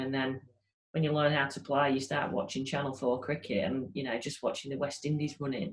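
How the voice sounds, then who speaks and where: A woman talks at a fairly quick pace in a northern English accent. Her pitch is very deep and low. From northern England, Grimsby, Lincolnshire. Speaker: cricket coach. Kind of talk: interview. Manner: hesitant, many repeated words.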